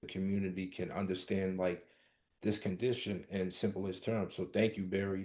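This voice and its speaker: A man speaks with a Brooklyn accent at a fairly low pitch, with a dark, mellow tone. His delivery is monotone and flat over a quiet background. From US, Brooklyn New York. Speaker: podcast host. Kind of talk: podcast interview.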